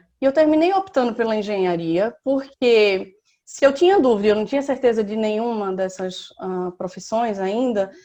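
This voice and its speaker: A woman talks at a moderate pace, her pitch varying an ordinary amount. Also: quiet background. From Recife, northeastern Brazil. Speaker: civil engineer on sabbatical. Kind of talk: interview, personal life story.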